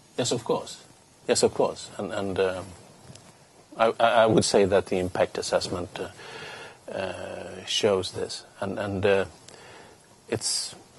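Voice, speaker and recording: A man talks very slowly while noticeable background noise fills the recording. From Sweden. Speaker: politician. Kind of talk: interview. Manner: halting, many repeated words.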